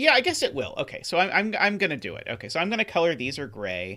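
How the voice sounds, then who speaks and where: A man with a bright, sharp tone on a very clean recording with a silent background. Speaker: sudoku streamer. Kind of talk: live stream puzzle solving. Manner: hesitant, many fillers; mumbling.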